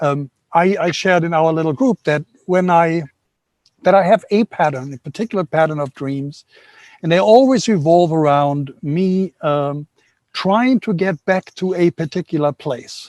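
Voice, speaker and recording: A man with a German accent speaks at a high pitch with ordinary pitch variation. The sound is dry and close, with no echo. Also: moderate pace. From Germany. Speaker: workshop participant. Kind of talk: audience Q&A contribution. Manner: halting.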